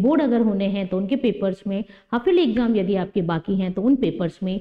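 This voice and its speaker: A woman at a fairly slow pace against a quiet background. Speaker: teacher. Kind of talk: lecture.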